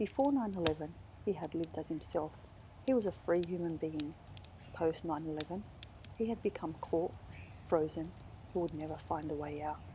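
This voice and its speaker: Speaking at a moderate pace with an Australian accent, a woman uses a dark, mellow, somewhat breathy tone. Her pitch is fairly low with ordinary variation, and she leaves long, frequent pauses. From Western Sydney, Australia. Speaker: author. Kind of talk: author reading of literary fiction.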